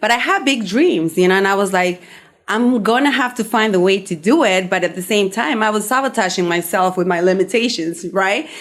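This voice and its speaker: Fairly quick speech in a Spanish accent, with ordinary pitch variation and very even loudness. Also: woman, medium pitch for a woman. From Peru. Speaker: somatic healing practitioner, podcast host. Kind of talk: radio interview.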